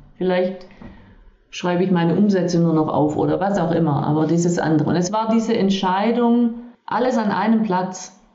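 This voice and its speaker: A woman talks at a moderate pace and medium pitch, with ordinary pitch variation and very even loudness. Room echo is audible, and there is noticeable background noise. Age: 50s. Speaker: leadership and body-awareness coach. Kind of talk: interview, casual chat.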